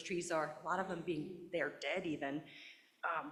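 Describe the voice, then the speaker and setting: A woman speaks in a nervous, shaky voice with a fairly low pitch at a moderate pace. Noticeable noise sits in the background. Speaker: resident giving public comment. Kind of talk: public comment at a town meeting. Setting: town board meeting. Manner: shaky, nervous voice.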